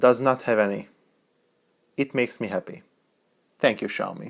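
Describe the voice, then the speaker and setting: A man with a non-native accent speaks at a fairly quick pace and medium pitch. The recording is very clean, the background silent. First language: not English. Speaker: tech reviewer. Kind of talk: product review.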